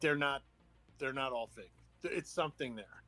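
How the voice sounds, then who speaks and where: With music in the background, a man at a fairly high pitch is heard in a dry, close sound with no echo. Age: 60s. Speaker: podcast guest, UFO enthusiast. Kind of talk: casual chat.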